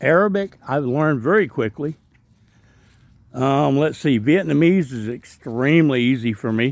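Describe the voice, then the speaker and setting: A strong Southern US accent carries lively, bouncing intonation at a moderate pace. The recording is very clean, with a silent background. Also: man, fairly high pitch for a man. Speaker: travel vlogger. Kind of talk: casual walkthrough narration. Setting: outdoors in a park.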